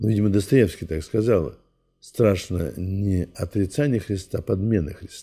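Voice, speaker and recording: Speaking at a fairly slow pace, a man with a fairly low pitch and ordinary pitch variation sounds somewhat breathy, his tone dark and mellow against a quiet background. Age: 80s+. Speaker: Orthodox priest. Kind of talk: interview.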